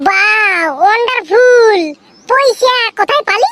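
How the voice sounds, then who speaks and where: This squeaky, cartoonish character voice sits at an extremely high pitch. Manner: repetitive, excitable.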